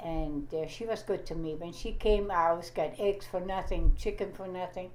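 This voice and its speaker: A woman at a medium pitch and moderate pace, with fairly even intonation, big swings in loudness, audible room echo and noticeable background noise. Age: 90s. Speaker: grandmother being interviewed. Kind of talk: oral history interview. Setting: home interview recorded on audio recorder.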